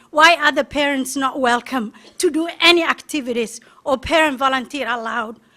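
A woman projects her voice at a high pitch with a bright, sharp tone. Her pitch varies in an ordinary way, and the recording is very clean with a silent background. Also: moderate pace. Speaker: parent. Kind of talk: public testimony. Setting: school board meeting. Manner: emphatic.

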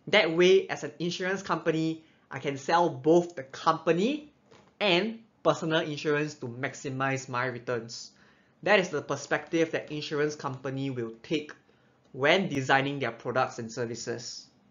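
At a moderate pace, a man talks, his pitch shifting in an ordinary way. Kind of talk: explainer presentation. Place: home room.

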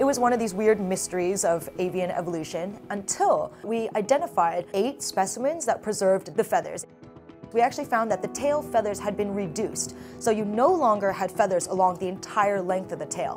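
Clear music sounds behind the woman. She talks at a fairly quick clip. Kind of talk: interview answer. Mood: enthusiastic, animated. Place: office. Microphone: lapel.

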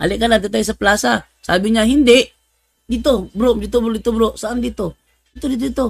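Talking at a very fast pace, a man uses a high pitch. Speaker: religious apologist / Bible debater. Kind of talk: livestream religious talk, storytelling. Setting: live stream. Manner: animated, laughing often.

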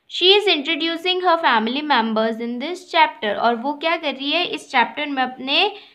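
In a raised, projected voice with an Indian accent, the speaker uses a bright, sharp tone, lively intonation, big swings in loudness and hardly any pauses. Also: woman, high pitch for a woman, quiet background. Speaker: school teacher. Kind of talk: lesson. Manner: slow. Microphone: phone near.

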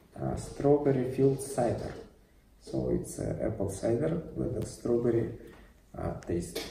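A man with a Russian accent talks at a fairly slow pace. Light background noise and audible room echo surround him. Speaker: YouTuber, cider reviewer; product reviewer. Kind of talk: product review vlog. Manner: halting, many fillers. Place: empty room. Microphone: camera far.

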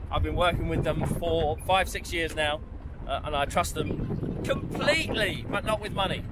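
Loud background noise surrounds a voice with a Cockney accent at a moderate pace, the sound itself dry with no echo. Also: man. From London, England. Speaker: wildlife photographer. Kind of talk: casual talk to camera on location. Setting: outdoors. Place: open country. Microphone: phone near.

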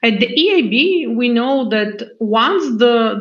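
The background is quiet as a woman speaks at a very slow pace. Her pitch is high. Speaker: bank executive opening a panel. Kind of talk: formal opening speech. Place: office. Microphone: video call.

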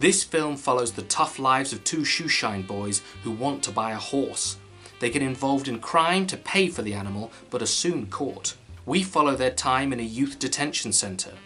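Faint music plays in the background. A man talks at a moderate pace. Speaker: film reviewer. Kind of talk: commentary. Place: home room.

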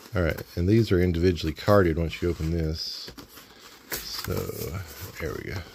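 A man with a very deep, low pitch talks at a moderate pace in a relaxed tone, leaving long, frequent pauses. His intonation is fairly even, and light background noise is present. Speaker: toy reviewer. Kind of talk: unboxing review. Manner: casual, relaxed. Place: home room. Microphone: phone near.

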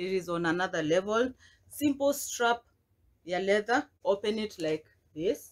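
The female speaker's intonation is lively. Her pace is very slow. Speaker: haul vlogger. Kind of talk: casual vlog chat. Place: home room. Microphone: phone near.

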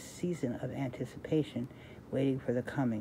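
Over light background noise, a woman with a very deep, low pitch and a dark, mellow tone talks at a moderate pace with fairly even intonation. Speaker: reader sharing a devotional book. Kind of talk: reading aloud with casual comments. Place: home room. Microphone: phone near.

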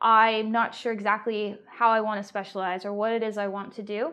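This woman's pitch sits fairly high. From UK. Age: 30s. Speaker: coding student and intern; interviewee. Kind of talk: interview. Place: home room. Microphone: lapel.

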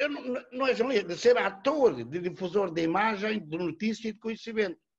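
A man talks at a high pitch. His voice swings very widely in pitch. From Portugal. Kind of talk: formal academic commentary. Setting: video call. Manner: formal. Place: home room. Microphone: webcam.

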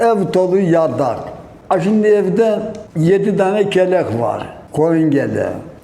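A man speaks at a very slow pace in a high voice with ordinary pitch variation. Noticeable noise sits in the background. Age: 70s. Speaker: villager. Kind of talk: interview answer, reminiscing.

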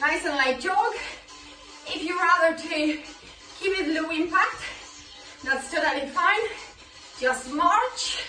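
The voice is raised and projected, moving at a very slow pace with long, frequent pauses and ordinary pitch variation. Music plays in the background. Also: woman. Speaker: fitness instructor. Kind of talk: workout instruction. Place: home room.

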